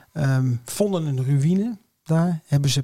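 The intonation is lively and the voice somewhat breathy. The sound is dry and close, with no echo. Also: man. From Nijmegen, Netherlands. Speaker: podcast co-host. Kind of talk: casual chat.

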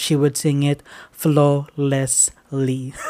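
A man with a Filipino accent speaks in a dark, mellow tone. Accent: Filipino English, Taglish. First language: Tagalog. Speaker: podcast host. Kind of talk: casual solo talk.

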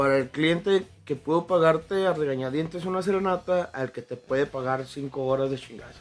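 This man has a plain, everyday voice, fairly high in pitch with ordinary variation, moving at a moderate pace with hardly any pauses and big swings in loudness. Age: 20s. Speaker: mariachi singer. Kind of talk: casual chat.

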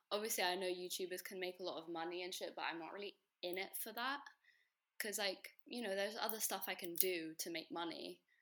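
Very fast and bright with a sharp tone, a woman with a British accent speaks at a medium pitch with ordinary pitch variation. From England. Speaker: guest. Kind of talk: casual chat.

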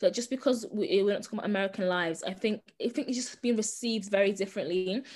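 Somewhat breathy and fairly high in pitch, a woman talks at a very fast pace. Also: ordinary pitch variation. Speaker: podcast co-host, sociology student. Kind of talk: casual chat. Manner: variable volume.

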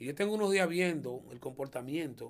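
There is lively intonation in this man's speech. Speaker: comedian and auto mechanic. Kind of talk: interview.

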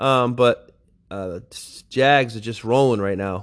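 A man uses an ordinary speaking voice at medium pitch. His pace is fairly slow, with ordinary pitch variation. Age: 40s. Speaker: gaming league podcast host and high school football coach. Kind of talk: casual solo recap of a video game league. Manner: casual with frequent fillers.

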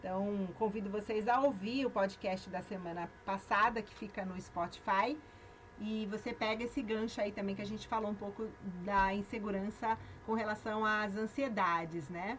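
Through noticeable background noise, a woman speaks at a moderate pace with a medium pitch and fairly even intonation. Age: 50s. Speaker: radio host. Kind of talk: radio talk on self-knowledge.

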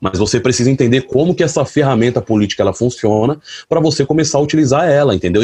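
With a dark, mellow tone and a somewhat breathy quality, a man talks at a very fast pace with lively intonation. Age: 30s. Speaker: delivery motorcycle courier and activist. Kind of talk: panel talk. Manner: colloquial, halting with repetitions.

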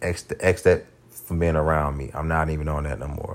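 This man's voice has a very deep, low pitch and vocal fry. His intonation stays monotone and flat. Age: 30s. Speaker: podcast host. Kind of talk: casual monologue. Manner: unrehearsed, filler-heavy.

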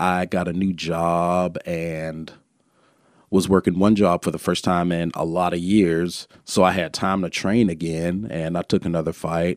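Recorded very cleanly against a silent background, a man with an Alabama accent and a very deep, low pitch speaks in a flat monotone at a fairly slow pace. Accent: Alabama Southern US. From Birmingham, Alabama. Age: 30s. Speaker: former pro MMA fighter and trainer. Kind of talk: casual chat.

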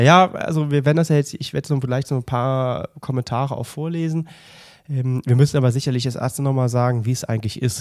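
Speaking at a very fast pace, a man has a medium pitch and ordinary pitch variation. The recording is very clean, with a silent background. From Mönchengladbach, western Germany. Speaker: triathlon podcast co-host. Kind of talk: casual chat. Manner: animated.

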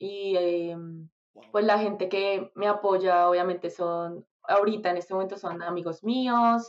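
Speaking at a fairly slow pace in a Bogotá Colombian accent, a woman at medium pitch keeps her intonation fairly even while her loudness swings widely. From Colombia, Bogotá. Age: 20s. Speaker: singer. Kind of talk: casual interview.

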